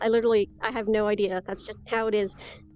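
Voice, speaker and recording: A woman talks at a fairly quick pace while music plays in the background. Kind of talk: casual game showcase talk. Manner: upbeat, excited.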